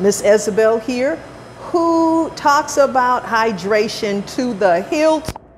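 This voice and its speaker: An American accent with very wide pitch swings, over noticeable background noise. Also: woman. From South Los Angeles, US. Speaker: chef and cooking show host. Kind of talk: cooking show chat. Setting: senior center kitchen.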